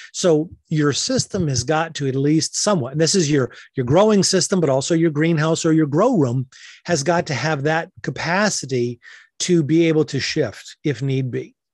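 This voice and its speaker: Over a quiet background, a man with an American accent and a plain, everyday voice speaks at a fairly high pitch with ordinary pitch variation. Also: moderate pace. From western Massachusetts. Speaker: hydroponic greenhouse grower. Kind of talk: interview.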